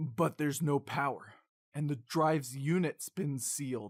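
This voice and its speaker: A man does a put-on character voice at a fairly high pitch. He keeps a moderate pace on a very clean recording with a silent background. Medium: audio drama. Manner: inquisitive.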